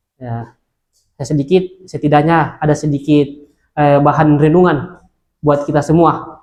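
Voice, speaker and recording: Speaking at a fairly quick pace, a man uses a fairly high pitch and a flat, monotone intonation. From Indonesia, Central Sulawesi (Luwuk Banggai). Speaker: Islamic preacher. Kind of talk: religious talk to students. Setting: Islamic boarding school gathering. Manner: hesitant, many filler sounds.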